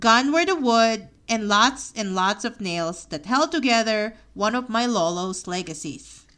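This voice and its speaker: Fairly slow speech in a Filipino accent, bright and sharp in tone, on a very clean recording with a silent background. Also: woman. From Philippines, near Manila. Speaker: memoir podcaster. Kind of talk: reading aloud of own memoir.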